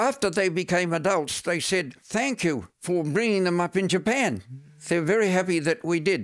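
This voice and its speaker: A man with a New Zealand accent and high pitch, moderate pace, ordinary pitch variation and very even loudness, on a very clean recording with a silent background. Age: 80s+. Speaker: long-time expatriate interviewee. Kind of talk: interview.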